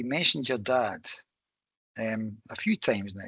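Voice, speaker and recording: In a Scottish accent, a man speaks at a moderate pace with a bright, sharp tone, the sound dry and close with no echo over a quiet background. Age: 60s. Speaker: podcast host. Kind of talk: casual interview chat.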